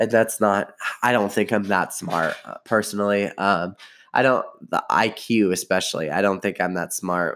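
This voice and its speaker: A man talks at a moderate pace with a fairly low pitch and ordinary pitch variation. The recording is very clean, with a silent background. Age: 20s. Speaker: marketing podcaster. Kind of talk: solo podcast monologue. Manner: halting.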